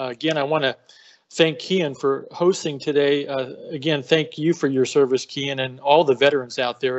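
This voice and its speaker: A man at a moderate pace, fairly even intonation, and a quiet background. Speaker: speaker. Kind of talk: webinar talk. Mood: warm, grateful. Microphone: video call.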